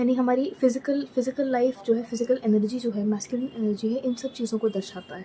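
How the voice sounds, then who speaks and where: A woman with a high voice talks with ordinary pitch variation as noticeable background noise runs behind her. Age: 20s. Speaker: tarot reader. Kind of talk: tarot reading. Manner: casual Hindi-English code-switching.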